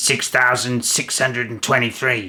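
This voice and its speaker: Using a put-on character voice, a man talks at a moderate pace. His voice is raspy and medium in pitch. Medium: read story. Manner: cold, dismissive.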